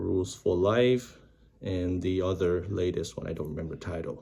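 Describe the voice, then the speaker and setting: This man's voice has a dark, mellow tone. It comes across as somewhat breathy. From Vietnam, moved to US in 1998. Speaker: YouTuber practising English reading. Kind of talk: casual vlog intro and reading aloud. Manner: hesitant, with fillers.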